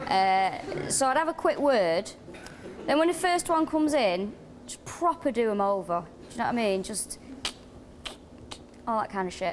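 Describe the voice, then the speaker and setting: Her voice is fairly high, and she moves at a moderate pace with long, frequent pauses and very wide pitch swings. Noticeable background noise runs behind this woman. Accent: strong Manchester. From North Manchester, England. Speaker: comedian. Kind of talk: comedy panel banter.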